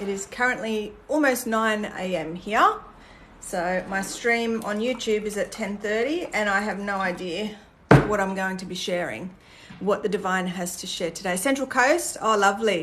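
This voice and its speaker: A woman with an Australian accent talks at a moderate pace and medium pitch, with ordinary pitch variation. Noticeable background noise is present. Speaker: spiritual content creator. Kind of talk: livestream chat with viewers. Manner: casual, with fillers.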